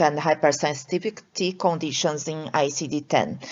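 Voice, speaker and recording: This woman has a Portuguese accent and a fairly low pitch, talking at a moderate pace. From Brazil. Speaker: allergist and researcher. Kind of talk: lecture. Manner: halting, many fillers.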